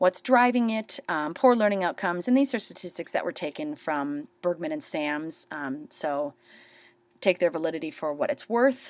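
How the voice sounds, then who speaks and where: On a very clean recording with a silent background, a woman with a fairly low pitch makes very wide pitch swings. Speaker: teacher. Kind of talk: screencast tutorial. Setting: screen recording. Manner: fast.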